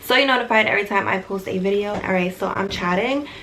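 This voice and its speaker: Quiet and fairly even in intonation, a woman speaks at a medium pitch over noticeable background noise. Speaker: lifestyle YouTuber. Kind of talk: casual chat. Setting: bedroom at night, others sleeping. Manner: talking quietly.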